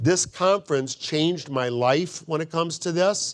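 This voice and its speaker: Here a man is speaking. His pace is moderate. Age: 60s. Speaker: doctor. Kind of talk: lecture. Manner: emphatic.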